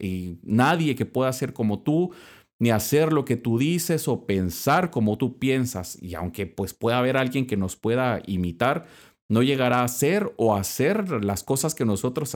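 A man speaks at a medium pitch and a fairly slow pace, with very wide pitch swings. The recording is very clean with a silent background. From Guatemala. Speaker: Dominican friar and podcast host. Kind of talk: religious reflection podcast.

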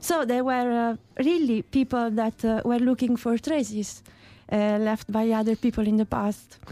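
Speaking in an Italian accent, a woman has a fairly high pitch and a dark, mellow tone, at a fairly slow pace. Her intonation is fairly even, her loudness very even, and the sound is dry and close with no echo. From Italy, Puglia. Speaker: archaeologist. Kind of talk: interview.

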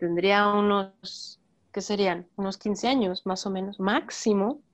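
Against a quiet background, a woman talks at a very slow pace. Her pitch is medium and she has a Mexican accent. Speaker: actress and film podcast co-host. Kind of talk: casual chat.

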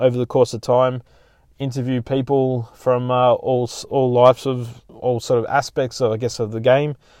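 A man speaks with an Australian accent and a medium pitch. His intonation is monotone and flat. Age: 40s. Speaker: podcast host. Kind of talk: casual chat.

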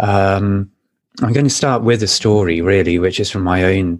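A man with a plain, everyday voice talks at a moderate pace, his fairly low pitch following a fairly even intonation. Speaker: podcast co-host. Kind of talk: casual chat. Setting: video call.

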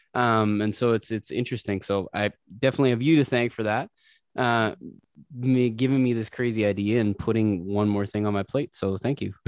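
A man speaks in an ordinary speaking voice of medium pitch, at a fairly quick pace. His intonation stays fairly even against a quiet background. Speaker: podcast host. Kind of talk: casual podcast interview.

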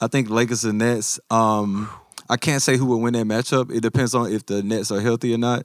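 In a Memphis accent, a man talks at a fairly quick pace with a medium pitch and monotone, flat intonation, in a dry, close sound with no echo on a very clean recording with a silent background. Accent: Southern US (Memphis). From US South, Memphis. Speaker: basketball podcast co-host. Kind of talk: casual chat.

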